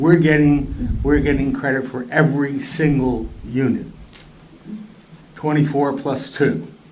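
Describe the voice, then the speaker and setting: A man's fairly high voice at a fairly slow pace, with fairly even intonation, long and frequent pauses, audible room echo and noticeable background noise. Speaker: planning board member. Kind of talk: questioning at public board meeting. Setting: public board meeting. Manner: halting, repeats words.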